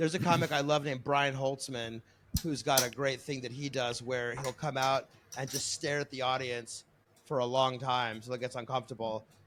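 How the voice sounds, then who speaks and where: This is a man with a medium pitch. His intonation stays fairly even. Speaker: streamer and stand-up comedian. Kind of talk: casual podcast chat. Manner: fast.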